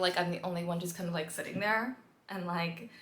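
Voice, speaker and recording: A woman with an American accent talks at a very fast pace. Noticeable background noise runs underneath. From US, Washington DC. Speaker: vlogger. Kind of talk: casual vlog talk. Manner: animated.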